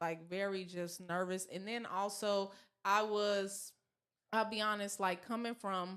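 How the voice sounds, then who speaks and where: A woman with an American accent speaks at medium pitch. Her intonation is monotone and flat, at a fairly slow pace. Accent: southern accent when comfortable. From US South. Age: 30s. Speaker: model and actress. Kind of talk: casual chat.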